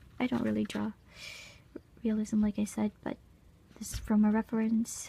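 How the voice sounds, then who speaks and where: A woman speaks at a fairly quick pace. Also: long, frequent pauses. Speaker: art channel creator. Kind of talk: sketchbook tour narration. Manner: casual.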